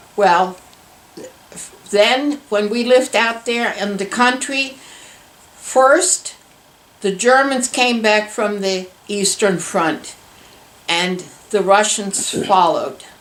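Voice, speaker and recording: Spoken at a very slow pace with long, frequent pauses and ordinary pitch variation, the voice sits over noticeable background noise. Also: woman, fairly high pitch for a woman. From Germany, Berlin. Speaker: war survivor. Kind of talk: interview testimony.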